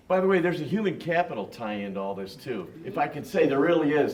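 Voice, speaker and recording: Talking fairly quickly in a fairly high voice, a man is heard through audible room echo and noticeable background noise. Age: 60s. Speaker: management consultant on business panel. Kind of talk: panel discussion.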